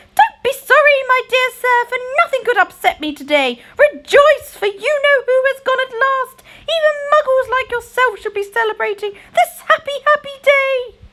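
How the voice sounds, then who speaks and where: A woman's put-on character voice, cheerful and squeaky, extremely high-pitched, at a moderate pace. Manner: jubilant, cheerful.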